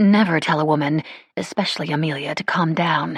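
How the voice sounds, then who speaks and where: Someone speaks in a put-on character voice. The pitch sits in the middle range. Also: fairly quick pace. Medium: read story. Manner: calm, reasonable.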